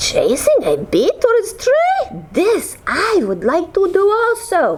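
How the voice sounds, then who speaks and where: A put-on character voice with very wide pitch swings. The pace is fairly slow. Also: woman, extremely high pitch for a woman. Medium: read story.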